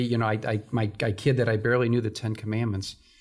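Over a silent background on a very clean recording, a man with an American accent talks very fast. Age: 60s. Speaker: church stewardship director. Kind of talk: testimony. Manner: halting, with frequent fillers and repetitions.

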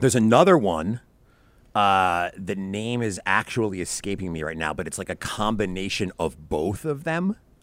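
In a plain, everyday voice, a man speaks at a moderate pace with a fairly low pitch and lively intonation. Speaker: podcaster and tutoring company founder. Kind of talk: casual interview chat.

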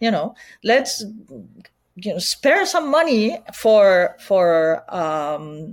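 Here is a woman speaking. Her pitch swings very wide. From Spain, Barcelona. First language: Spanish or Catalan. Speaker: PR agency owner. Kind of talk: interview. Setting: video call.

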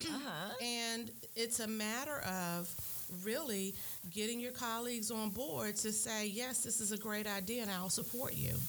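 With audible room echo, a woman with an American accent speaks at a fairly high pitch with ordinary pitch variation. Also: moderate pace, very even loudness. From Maryland, Prince George's County. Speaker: county council member. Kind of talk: radio interview. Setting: studio.

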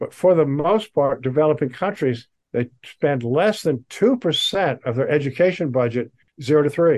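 The voice carries an American accent and lively intonation. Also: man, fairly high pitch for a man. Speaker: social entrepreneur. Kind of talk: interview. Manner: fast; animated.

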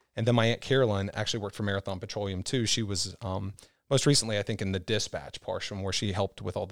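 A man with an American accent speaks very fast in a fairly low voice. His intonation stays fairly even, and the recording is very clean with a silent background. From Kentucky. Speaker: sales manager. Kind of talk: casual interview. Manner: fast talker.

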